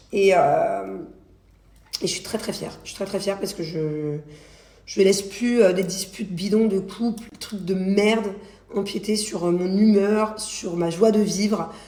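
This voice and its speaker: A woman's medium-pitched voice with ordinary pitch variation, long and frequent pauses, noticeable background noise and audible room echo. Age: 30s. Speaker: reality TV personality and influencer. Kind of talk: casual social media stories vlog. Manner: fast; halting.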